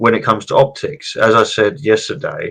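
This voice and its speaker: This man has a British accent and a bright, sharp tone. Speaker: political commentator. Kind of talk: political discussion stream. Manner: loud.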